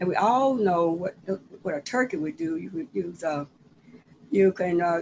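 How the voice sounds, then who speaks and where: In a Southern US accent, a woman of medium pitch speaks at a moderate pace with a dark, mellow tone and lively intonation. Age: 70s. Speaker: cookbook author. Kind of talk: casual chat. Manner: halting.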